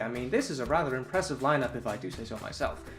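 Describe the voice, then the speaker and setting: An animated tone comes through with music playing in the background. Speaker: toy reviewer. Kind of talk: unboxing review.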